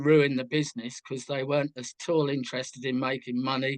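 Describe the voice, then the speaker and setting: A man with a London accent speaks in a monotone, flat intonation, recorded with a dry, close sound and no echo. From southwest London outskirts, England. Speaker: musician. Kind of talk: interview.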